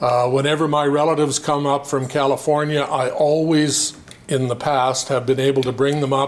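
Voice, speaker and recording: Through audible room echo and noticeable background noise, a man with a Canadian prairie accent speaks at a moderate pace and fairly high pitch in a monotone, flat intonation. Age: 70s. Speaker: farmer. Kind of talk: public meeting self-introduction. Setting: community meeting hall, no microphone. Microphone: no microphone, speaking to the room.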